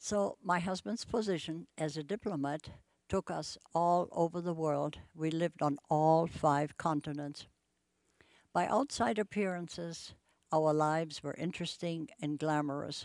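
In a German accent, a woman speaks fairly slowly at a very deep, low pitch with ordinary pitch variation. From Germany, Bremen. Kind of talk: testimony.

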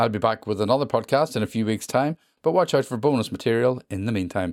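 A man with a Northern Irish accent talks at a very fast pace and medium pitch, with lively intonation. The sound is dry and close, with no echo. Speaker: podcast host. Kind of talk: podcast hosting, introductions.

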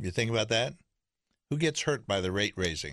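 A man's medium-pitched voice with very wide pitch swings and vocal fry, at a moderate pace, over a quiet background. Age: 80s+. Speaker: founder, financial planner. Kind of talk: radio talk show, conversational storytelling.

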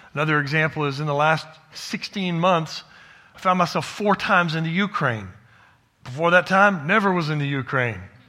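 With a Texan accent, a man speaks at a moderate pace in a bright, sharp, animated tone, his fairly high pitch moving with ordinary variation. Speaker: pastor and church planter. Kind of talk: sermon. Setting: church.

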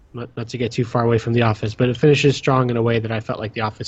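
The voice heard is a man's. It carries a somewhat breathy quality. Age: 20s. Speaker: podcast host. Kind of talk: casual chat.

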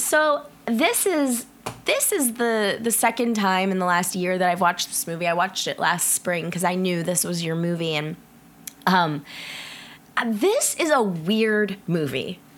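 A woman talks at a fairly slow pace while noticeable background noise continues. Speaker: podcast host. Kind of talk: casual chat. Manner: many filler words.

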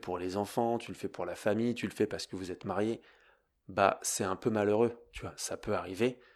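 A man speaks with a fairly low pitch at a moderate pace. The recording is very clean, with a silent background. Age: 30s. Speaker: yoga teacher and podcast host. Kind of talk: casual monologue. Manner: conversational.

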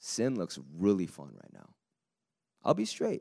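A man speaks with a fairly low pitch and a dark, mellow tone. The recording is very clean with a silent background, and the sound is dry and close with no echo. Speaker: preacher. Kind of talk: sermon. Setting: church. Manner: animated.

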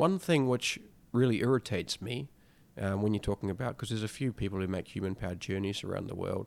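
In a very clean recording with a silent background, a man with a New Zealand accent talks very fast in a fairly low voice with ordinary pitch variation. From rural New Zealand. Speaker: explorer. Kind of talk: interview.

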